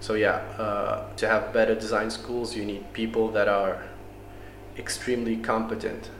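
There is noticeable background noise around this man. His voice carries an audible room echo. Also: moderate pace. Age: young. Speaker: industrial designer. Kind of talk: interview. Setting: café. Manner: halting, repeats words.

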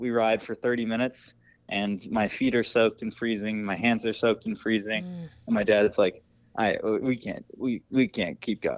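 A normal speaking voice from a man with an American accent, medium pitch and fairly even intonation, on a very clean recording with a silent background. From Wisconsin, US Midwest. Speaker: long-distance cyclist and social media vlogger. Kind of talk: interview, casual chat.

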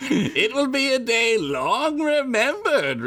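Over light background noise, a man puts on a character voice at an extremely high pitch and a fairly slow pace. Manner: sinister.

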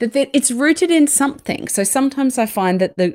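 A woman speaks with an Australian accent at a moderate pace. The recording is very clean, with a silent background. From Sydney, Australia. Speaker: organisational psychologist and author. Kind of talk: interview conversation.

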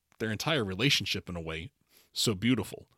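A man at a fairly quick pace, dry and close with no echo. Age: 50s. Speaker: podcast host reviewing films and shows. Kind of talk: casual chat; scripted recap narration. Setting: remote recording from home.

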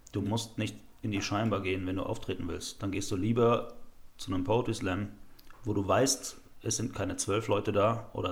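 A man speaks at a moderate pace, with a fairly low pitch. His voice is somewhat breathy, with long, frequent pauses. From Rhineland-Palatinate, Germany. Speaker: slam poet. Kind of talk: casual chat.

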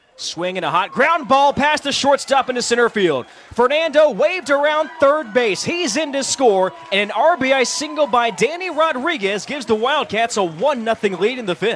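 Against noticeable background noise, a man with an extremely high pitch speaks at a moderate pace with lively intonation and hardly any pauses. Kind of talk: live baseball play-by-play commentary. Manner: fluent and rhythmic, calling each pitch and hit as it happens.

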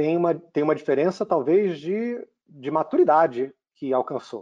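A man speaks in a Rio de Janeiro accent with a dark, mellow tone. His intonation is lively. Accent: Rio de Janeiro (carioca). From Brazil, Rio de Janeiro. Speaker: tech company CEO. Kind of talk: interview.

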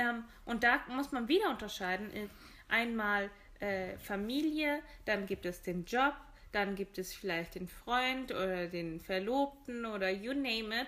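A woman speaks with lively intonation at a fairly high pitch in a bright, sharp tone. Her pace is fairly slow. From Germany. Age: 20s. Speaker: podcast co-host. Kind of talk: casual chat.

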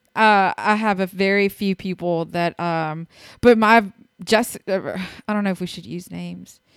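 A woman's normal speaking voice at medium pitch, fairly even in intonation but with big swings in loudness, at a moderate pace, in a dry, close sound with no echo on a very clean recording with a silent background. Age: 30s. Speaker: podcast co-host. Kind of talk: casual chat.

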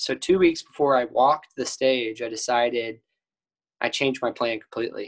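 A man's ordinary speaking voice with an American accent, medium pitch and a moderate pace, in dry, close sound with no echo. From Texas, Cedar Park. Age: 20s. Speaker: college golfer. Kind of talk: casual interview.

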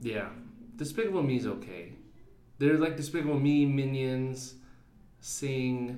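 A man with a dark, mellow tone speaks at a medium pitch with ordinary pitch variation. His pace is fairly slow, with long, frequent pauses and audible room echo. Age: 30s. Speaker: podcast host. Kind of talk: casual chat. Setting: home recording at night.

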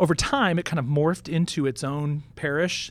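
A man with an American accent speaks at a fairly quick pace in a normal speaking voice, pitched fairly high. His pitch varies in an ordinary way, on a very clean recording with a silent background. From Houston, Texas. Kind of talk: casual chat. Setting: studio.

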